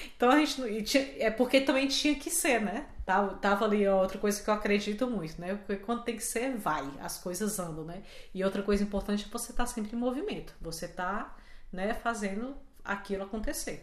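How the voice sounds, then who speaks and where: A woman's fairly high voice at a fairly quick pace, with audible room echo and noticeable background noise. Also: lively intonation. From Brazil, Fortaleza. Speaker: podcast co-host. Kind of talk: casual chat.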